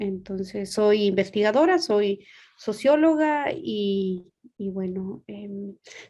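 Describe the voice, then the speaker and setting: At a very slow pace, a woman with a medium pitch and a dark, mellow tone speaks with lively intonation. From Guatemala. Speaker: sociologist and researcher. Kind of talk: panel discussion.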